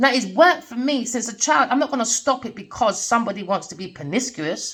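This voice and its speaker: A woman speaks loudly at a fairly quick pace. Her tone is animated, with very wide pitch swings. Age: 40s. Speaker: tarot reader. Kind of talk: tarot reading rant.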